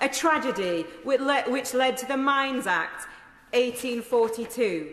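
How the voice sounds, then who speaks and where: In a Yorkshire accent, a woman speaks at a high pitch with lively intonation. Her pace is very slow, and there is noticeable background noise. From South Yorkshire, England. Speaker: member of parliament. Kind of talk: parliamentary maiden speech.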